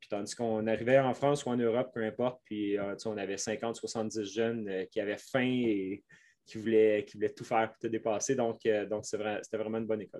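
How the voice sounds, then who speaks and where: A man's dark, mellow voice at medium pitch with a Quebec accent, monotone, flat intonation, big swings in loudness and a moderate pace, over a quiet background. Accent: Québécois French. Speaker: mountain bike coach. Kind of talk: interview. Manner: halting.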